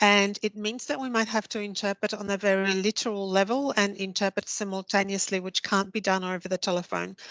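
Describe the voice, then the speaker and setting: A woman with a Polish accent speaks at a medium pitch and fairly quick pace with hardly any pauses, her intonation flat and monotone, the sound dry and close with no echo over a quiet background. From Poland. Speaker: interpreter trainer. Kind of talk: webinar presentation.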